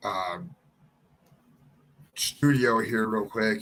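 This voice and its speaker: With an Ohio accent, a man speaks at medium pitch with ordinary pitch variation. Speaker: YouTube live streamer. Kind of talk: casual live stream chat. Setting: home studio. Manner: halting, filler-heavy.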